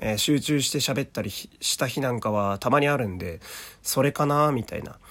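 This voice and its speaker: On a very clean recording with a silent background, a man with a medium pitch talks at a moderate pace. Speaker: voice actor. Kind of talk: casual solo podcast talk. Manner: halting, many fillers.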